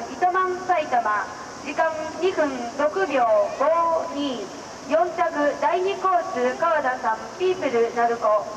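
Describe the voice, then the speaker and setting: Against noticeable background noise, a woman with an extremely high pitch and lively intonation speaks at a very slow pace. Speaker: competition announcer. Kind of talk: formal results announcement. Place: stadium.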